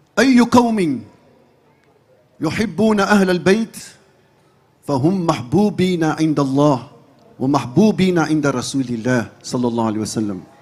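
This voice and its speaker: A man with a fairly high pitch speaks at a very slow pace, with long, frequent pauses and very wide pitch swings. Audible room echo surrounds the voice. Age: 60s. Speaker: Islamic preacher and imam. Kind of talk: sermon to a large gathering. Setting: large religious gathering.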